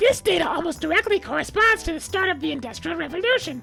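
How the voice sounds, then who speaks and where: A cartoonish character voice at an extremely high pitch and very fast pace, with clear music in the background. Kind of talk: comedic educational narration. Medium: puppet. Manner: sarcastic, irreverent.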